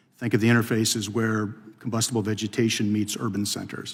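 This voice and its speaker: Speaking at a moderate pace, a man has a medium-pitched voice. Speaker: fire institute director, former fire service officer. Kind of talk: congressional testimony. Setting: committee hearing room. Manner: formal; soft-spoken. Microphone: too quiet at first.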